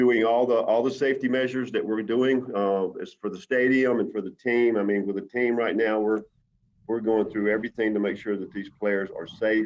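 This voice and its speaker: A man with a Southern US accent talks at a fairly quick pace, his medium-pitched voice held to a fairly even intonation. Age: 60s. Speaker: baseball team manager. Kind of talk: interview. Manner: halting.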